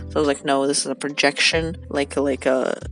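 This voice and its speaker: Music in the background behind a woman's very deep, low voice at a moderate pace. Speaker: art student. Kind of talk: casual commentary while drawing.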